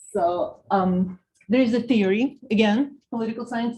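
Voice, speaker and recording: A woman with a Russian accent, fairly high in pitch, at a moderate pace. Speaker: political science professor. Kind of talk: lecture.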